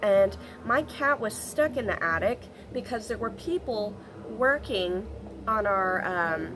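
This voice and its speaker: Over music in the background, a woman with a fairly high pitch talks with very wide pitch swings. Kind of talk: casual talk to camera. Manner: casual, rambling.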